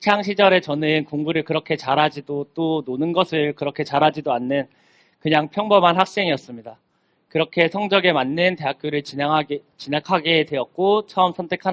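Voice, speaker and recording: A normal speaking voice at a moderate pace with ordinary pitch variation, in a dry, close sound with no echo. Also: man. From South Korea, Gimhae (Gyeongnam). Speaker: young farmer, speaker. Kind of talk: talk to students. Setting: stage with audience.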